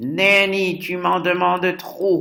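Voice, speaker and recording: Using a put-on character voice, a man speaks very slowly at a high pitch with fairly even intonation. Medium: read story. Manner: brusque, impatient.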